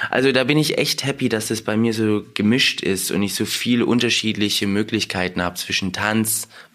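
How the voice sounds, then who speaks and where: A man's fairly low pitch and bright, sharp tone at a fairly slow pace. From Heidelberg, western Germany (born in Russia). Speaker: dancer and actor. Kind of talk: casual interview. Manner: animated.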